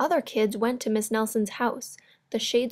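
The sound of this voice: This is an unforced reading voice. The background stays quiet.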